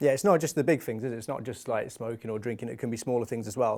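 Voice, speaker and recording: With a Birmingham accent, a man speaks in a dark, mellow tone on a very clean recording over a silent background. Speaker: youth talk show host. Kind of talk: casual chat. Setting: studio.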